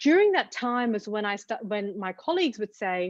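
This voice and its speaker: This is a woman with an Australian accent. Nothing can be heard behind her voice. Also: dry, close sound with no echo. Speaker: TV journalist. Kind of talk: interview.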